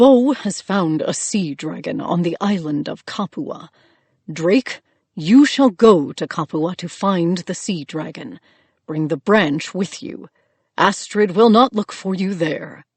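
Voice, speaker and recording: A put-on character voice that sounds female, pitched in the middle and delivered at a fairly slow pace. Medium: read story. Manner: formal, authoritative.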